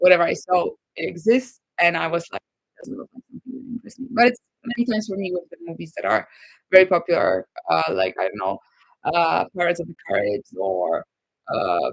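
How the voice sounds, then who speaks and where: Someone with a Polish accent speaks at a fairly quick pace. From Poland. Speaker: YouTuber. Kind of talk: live stream Q&A. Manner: hesitant, many fillers.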